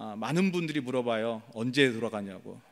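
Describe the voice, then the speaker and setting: A man at a moderate pace, with ordinary pitch variation, on a very clean recording with a silent background. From South Korea. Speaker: missionary pastor. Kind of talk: sermon. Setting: church, early morning service. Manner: hesitant fillers.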